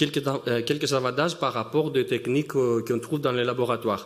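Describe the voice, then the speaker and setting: Here a man speaks with a non-native accent. His pitch is medium. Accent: noticeable foreign accent in French. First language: not French (speaking French). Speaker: synchrotron business development scientist. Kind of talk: conference talk. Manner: halting, many hesitations.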